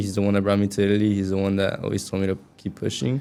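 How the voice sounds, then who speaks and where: A man speaks in a Spanish accent at a fairly low pitch. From US, raised American. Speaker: college soccer player. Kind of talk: podcast interview.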